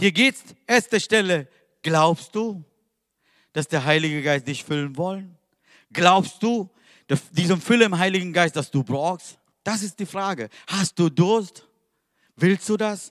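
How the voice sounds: A man speaks at a slow pace, his pitch high and his tone fairly bright. The intonation is lively, and the recording is very clean with a silent background.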